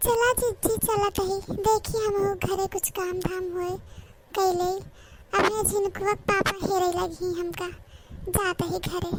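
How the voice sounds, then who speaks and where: A cartoonish character voice at a fairly slow pace, monotone and flat, amid loud background noise. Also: woman, extremely high pitch for a woman. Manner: friendly, inquisitive.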